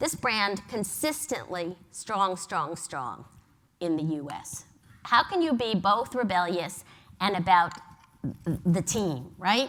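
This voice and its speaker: With an American accent, the speaker talks very slowly and swings the pitch very widely. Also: woman, medium pitch for a woman. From New York. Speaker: advertising agency executive. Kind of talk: conference talk. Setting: stage with audience.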